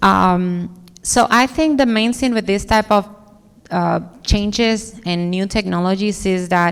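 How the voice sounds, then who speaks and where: In a strong Dominican accent, a woman talks at a fairly slow pace with a medium pitch and ordinary pitch variation. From Dominican Republic. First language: Spanish. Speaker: architect. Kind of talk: conference talk Q&A. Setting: stage with audience.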